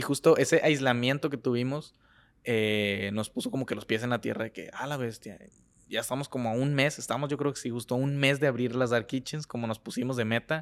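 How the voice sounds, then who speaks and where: A man speaks at a fairly quick pace with a medium pitch and fairly even intonation. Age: 20s. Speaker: food content creator and chef. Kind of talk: casual chat.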